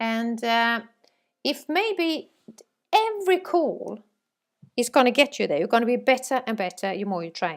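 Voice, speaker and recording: With a Swedish accent, a woman talks at a high pitch and moderate pace, her pitch swinging very widely, with long, frequent pauses. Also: very clean recording, silent background. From Sweden. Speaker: sales trainer. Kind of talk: training course lecture. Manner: halting, many fillers.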